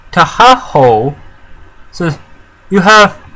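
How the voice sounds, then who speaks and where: A man speaks while noticeable background noise carries on around him. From Canada. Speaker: YouTuber. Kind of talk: casual vlog commentary. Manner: halting.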